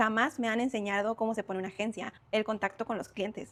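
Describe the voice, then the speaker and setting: A woman talks at a very fast pace with a Mexican accent. Her pitch is fairly high. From Mexico. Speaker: career content creator. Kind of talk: motivational talk to camera. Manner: conversational.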